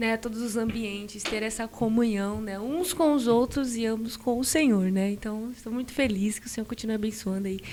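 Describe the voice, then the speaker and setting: Amid noticeable background noise, a woman with a fairly high pitch talks at a moderate pace with ordinary pitch variation and hardly any pauses. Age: 20s. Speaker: churchgoer telling her life story. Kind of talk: podcast interview testimony. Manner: hesitant, many fillers.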